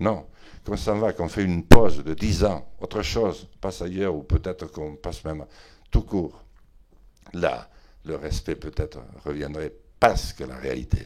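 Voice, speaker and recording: A man with a very deep, low pitch and vocal fry, ordinary pitch variation, a fairly slow pace, long, frequent pauses and big swings in loudness. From Béarn, southwest France. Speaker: politician, member of parliament. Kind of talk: interview answer. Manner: eloquent, voluble.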